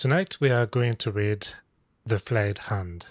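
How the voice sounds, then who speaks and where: A somewhat breathy man with a French accent, fairly slow pace and fairly even intonation. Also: very clean recording, silent background. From France. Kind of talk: bedtime story reading.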